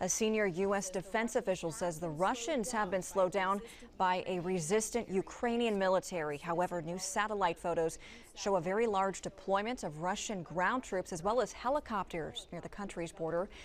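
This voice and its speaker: A woman with an unremarkable speaking voice talks at a fairly quick pace, her medium pitch moving with ordinary variation. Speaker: TV news anchor. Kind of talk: TV news broadcast read.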